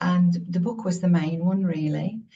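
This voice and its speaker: A woman's fairly low, dark, mellow voice, somewhat breathy, at a moderate pace. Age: 60s. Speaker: author. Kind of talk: interview. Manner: halting.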